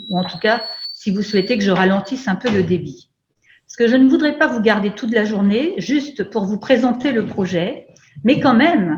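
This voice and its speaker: A woman speaks at a fairly slow pace with a fairly high pitch and lively intonation. Her voice is somewhat breathy. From France, Brittany. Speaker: university lecturer, project coordinator. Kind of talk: online event presentation. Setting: video call. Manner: hesitant, many fillers.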